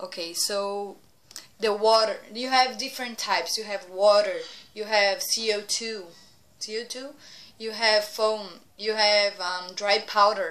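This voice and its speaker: A woman with a Portuguese accent speaks very slowly at a medium pitch. Her intonation stays fairly even, with noticeable background noise. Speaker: vlogger, cruise ship worker in training. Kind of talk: casual vlog talk. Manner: halting, searching for words.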